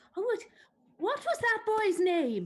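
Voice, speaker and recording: A woman uses a put-on character voice, squeaky and extremely high. Her pitch swings very widely. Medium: stage play.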